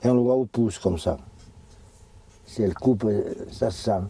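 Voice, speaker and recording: This man's medium-pitched voice has a dark, mellow tone and lively intonation. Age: 70s. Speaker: retired farmer. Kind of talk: interview, demonstration. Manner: halting.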